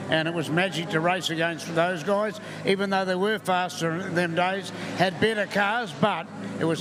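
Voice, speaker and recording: Someone with a New Zealand accent talks at a moderate pace with fairly even intonation, amid noticeable background noise and audible room echo. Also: man. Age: 80s+. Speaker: retired racing driver. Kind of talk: live interview.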